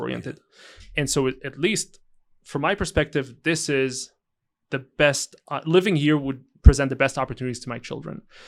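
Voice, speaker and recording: Speaking with a slight Israeli accent, a man with a fairly high pitch keeps a moderate pace, ordinary pitch variation, big swings in loudness and long, frequent pauses. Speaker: entrepreneur. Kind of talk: interview answer.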